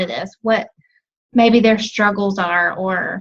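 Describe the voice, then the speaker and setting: A somewhat breathy, fairly high-pitched woman's voice with monotone, flat intonation. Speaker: team coach. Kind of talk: team call presentation.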